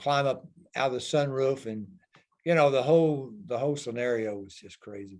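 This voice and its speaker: A man with a plain, everyday voice and medium pitch talks at a fairly quick pace, his pitch varying in an ordinary way while his loudness swings widely. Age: 60s. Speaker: retired stuntman and climber. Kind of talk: interview.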